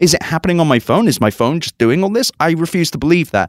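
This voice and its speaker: A man talks fairly quickly in an ordinary speaking voice at a fairly high pitch. The recording is very clean with a silent background, dry and close with no echo. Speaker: tech journalist and podcast host. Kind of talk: casual chat. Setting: convention in Las Vegas.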